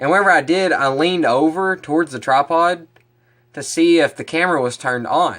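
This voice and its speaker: A man with a fairly high voice speaks at a moderate pace with lively intonation. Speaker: fishing vlogger. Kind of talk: casual vlog talk to camera. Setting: outdoors, then in his kitchen. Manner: animated.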